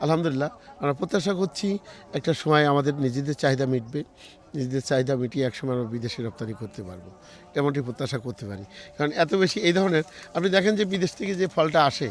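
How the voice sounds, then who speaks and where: This man has a normal speaking voice, pitched fairly high. His intonation is lively. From Bangladesh, Jessore district. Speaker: orchard owner. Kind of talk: interview.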